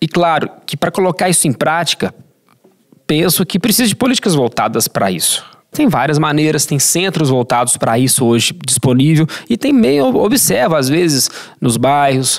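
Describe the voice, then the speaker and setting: A man talks in a normal speaking voice at a fairly high pitch with lively intonation. His pace is moderate and his loudness very even. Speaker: health sciences professor. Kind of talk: podcast interview answer.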